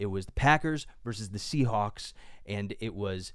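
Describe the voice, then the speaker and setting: With an American accent, a man talks at a moderate pace using ordinary pitch variation. It is a normal speaking voice. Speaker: podcast co-host. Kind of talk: casual chat.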